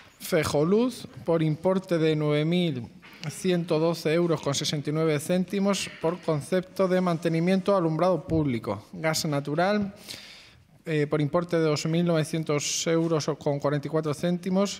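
A man's high-pitched voice at a very slow pace, with very even loudness. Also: fairly even intonation. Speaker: council secretary reading agenda item. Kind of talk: formal reading of a council resolution. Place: hall.

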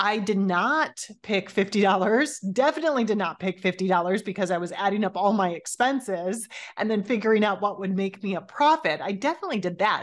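Her intonation is lively. The woman speaks at a moderate pace. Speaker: podcast host. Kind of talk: podcast monologue. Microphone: studio mic.

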